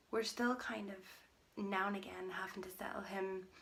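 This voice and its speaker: A woman speaks at a medium pitch with fairly even intonation. There is noticeable background noise. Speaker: mummy vlogger. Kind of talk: casual vlog update. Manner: soft-spoken.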